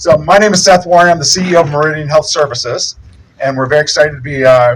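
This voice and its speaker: A man talks at a very fast pace with a fairly high voice. His pitch variation is ordinary. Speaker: healthcare company executive. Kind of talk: ribbon-cutting speech. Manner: loud; halting with many fillers.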